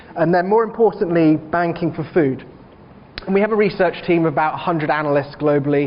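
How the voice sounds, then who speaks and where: At a fairly quick pace, a man talks with a high pitch and ordinary pitch variation. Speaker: bank research analyst, keynote speaker. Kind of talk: conference presentation.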